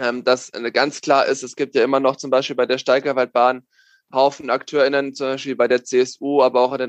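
The delivery is monotone, with flat intonation and a fairly quick pace. The sound is dry and close, with no echo. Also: man. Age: 20s. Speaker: parliamentary candidate. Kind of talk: interview.

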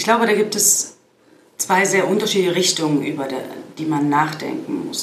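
Amid noticeable background noise and audible room echo, a woman speaks with a fairly low pitch and ordinary pitch variation. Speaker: fintech advisor and former bank executive. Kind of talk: interview. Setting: in person at a conference in Berlin.

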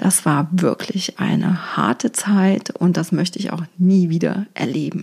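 A normal speaking voice from a woman, fairly low in pitch with ordinary variation, at a fairly slow pace with hardly any pauses. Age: 40s. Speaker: feng shui coach, podcast host. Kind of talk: personal monologue podcast. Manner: warm, conversational.

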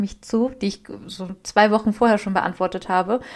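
This woman's voice is pitched fairly high. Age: 20s. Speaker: podcast co-host, self-employed social media marketer. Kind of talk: casual chat.

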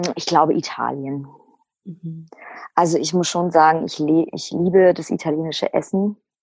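A woman with a fairly low pitch speaks at a moderate pace, her intonation fairly even but her loudness swinging widely. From Lower Saxony, Germany. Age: 30s. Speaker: single seeking a partner. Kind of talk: interview. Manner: talkative.

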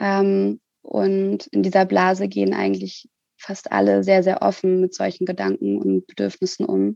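Recorded with a dry, close sound with no echo, a woman speaks at a moderate pace. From Hamburg, northern Germany. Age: 20s. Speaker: social worker and part-time student. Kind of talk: interview.

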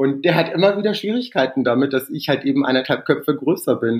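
A man speaks at a medium pitch. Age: 40s. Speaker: dental hygienist and Roma rights activist. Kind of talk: interview conversation. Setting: internet call.

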